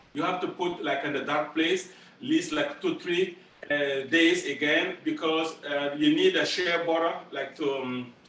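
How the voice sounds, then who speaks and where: A man speaks with a fairly high pitch. His pace is fairly slow, with noticeable background noise. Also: fairly even intonation. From Burkina Faso. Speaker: master drummer. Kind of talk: school presentation Q&A. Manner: halting, many repeats and fillers.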